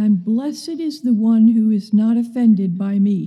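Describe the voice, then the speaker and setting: A woman speaks with a fairly high pitch. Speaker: scripture reader. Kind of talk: reading aloud. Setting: church.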